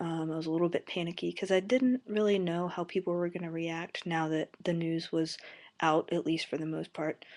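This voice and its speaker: Against a quiet background, a soft-spoken woman with a fairly low pitch talks at a moderate pace with fairly even intonation. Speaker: college student vlogger. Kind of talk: casual video blog. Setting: webcam at home, late night. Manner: soft-spoken, talking quietly; hesitant, many fillers.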